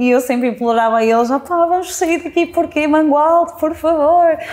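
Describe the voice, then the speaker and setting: A woman talks with lively intonation, keeping a fairly quick pace. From central Portugal (Mangualde); Portugal. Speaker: social media creator and interviewer; social media creator, interviewer. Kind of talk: interview. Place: home room. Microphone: lapel.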